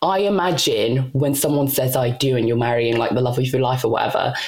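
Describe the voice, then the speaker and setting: With a British accent, the speaker goes at a moderate pace over noticeable background noise. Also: woman. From UK (moved from DR Congo at seven). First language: not English (Congolese languages/French). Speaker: podcast co-host and author. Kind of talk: casual interview chat.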